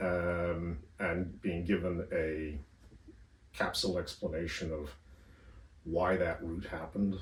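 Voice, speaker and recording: Somewhat breathy and very deep, a man's low voice comes with a North American accent. His intonation is monotone and flat, with audible room echo. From northern US. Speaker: history academic. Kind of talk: interview. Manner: hesitant, many fillers.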